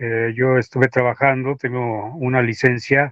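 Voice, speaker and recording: The man's voice sits at a medium pitch with monotone, flat intonation. He speaks at a fairly slow pace. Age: 60s. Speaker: retired aviation technician and UFO researcher. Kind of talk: interview.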